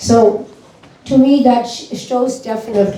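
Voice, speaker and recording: There is audible room echo and noticeable background noise as a woman talks at a fairly slow pace with fairly even intonation. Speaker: devotee speaking at a spiritual gathering. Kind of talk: informal testimony. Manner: loud.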